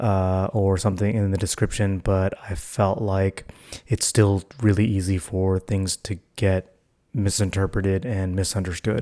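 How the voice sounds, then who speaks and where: Soft-spoken and fairly slow, the speaker keeps a fairly even intonation. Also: man. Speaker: vlogger. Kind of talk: casual vlog monologue. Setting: at home, family asleep. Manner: soft-spoken, talking quietly.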